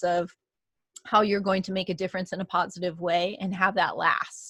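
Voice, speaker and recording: Over a quiet background, a woman with an unremarkable speaking voice talks at a medium pitch and moderate pace, her intonation fairly even. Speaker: podcast host, consultant. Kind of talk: solo educational talk. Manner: many filler ums.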